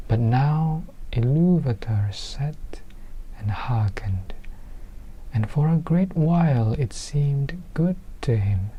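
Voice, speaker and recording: Speech at a very slow pace, broken by long, frequent pauses, comes over noticeable background noise. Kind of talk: audiobook-style book reading.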